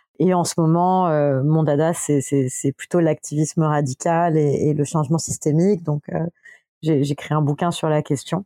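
A woman with a very deep, low pitch and a dark, mellow tone speaks at a fairly slow pace in a monotone, flat intonation, with a dry, close sound with no echo. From France (Paris and a village in the south). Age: 30s. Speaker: social entrepreneur and activist. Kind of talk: casual interview. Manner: halting, many fillers and repetitions.

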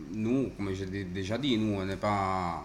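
A man with an Italian accent speaks at a very slow pace with fairly even intonation, and audible room echo surrounds his voice. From Italy, Rome. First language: Italian (speaking French). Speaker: coffee shop owner. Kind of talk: casual interview. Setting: coffee shop.

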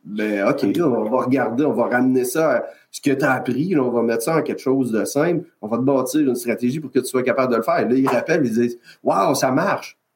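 With a Quebec accent, a man speaks at a fairly quick pace and medium pitch with ordinary pitch variation. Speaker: health and safety consultant. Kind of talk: interview. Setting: video call.

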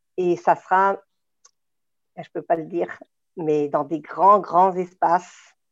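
Speaking at a very slow pace with long, frequent pauses, a woman delivers her words at a fairly low pitch in a monotone, flat intonation. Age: 50s. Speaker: rally driver and event organizer. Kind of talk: interview.

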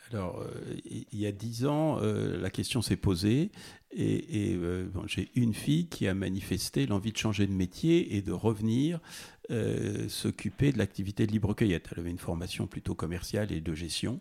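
A man's dark, mellow voice, fairly low in pitch, with vocal fry and lively intonation. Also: moderate pace, very clean recording, silent background. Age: 60s. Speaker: farmer. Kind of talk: interview. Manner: halting.

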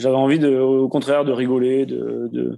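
This man talks in a flat monotone. The background is quiet. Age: 20s. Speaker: air force serviceman and runner. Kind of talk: casual interview.

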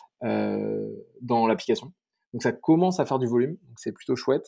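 Over a quiet background, a man at medium pitch talks at a fairly slow pace in a dark, mellow tone. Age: 30s. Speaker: startup co-founder. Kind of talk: interview. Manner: halting.

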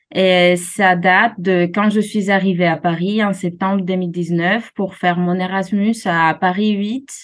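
A woman with a Greek accent speaks at a very slow pace with hardly any pauses. Her intonation is monotone and flat, and her loudness is very even. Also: medium pitch for a woman. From Greece, Alexandroupolis in Thrace. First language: Greek (speaking French). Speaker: jazz singer. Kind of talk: interview. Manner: halting.

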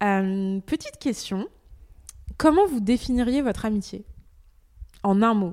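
Speaking at a fairly slow pace, a woman leaves long, frequent pauses. Her fairly high voice shows ordinary pitch variation. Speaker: podcast host. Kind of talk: casual chat.

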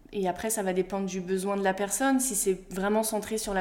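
A woman speaks at a moderate pace in a medium pitch with fairly even intonation, on a very clean recording with a silent background. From Brittany, France. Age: 20s. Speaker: former athlete turned mental coach. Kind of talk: interview. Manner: hesitant, many fillers.

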